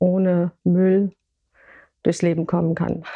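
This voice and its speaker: Over a quiet background, a woman's dark, mellow, medium-pitched voice moves fairly slowly with flat, monotone intonation. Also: dry, close sound with no echo. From Hesse, Germany (Gießen). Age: 70s. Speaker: retired language teacher, food co-op founder. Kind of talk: interview. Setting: in person, on a couch.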